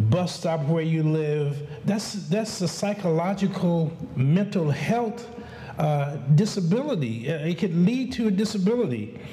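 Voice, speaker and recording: With audible room echo and noticeable background noise, a man speaks at a very slow pace with a high pitch and lively intonation. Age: 60s. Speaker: community advocate. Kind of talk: conference speech. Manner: halting, many fillers and repetitions.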